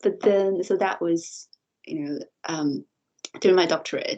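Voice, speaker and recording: Here is a woman with a Chinese accent. She talks at a fairly slow pace. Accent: Mandarin Chinese accent in English. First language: Mandarin. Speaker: university lecturer and researcher. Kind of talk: interview conversation. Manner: halting, repeats words.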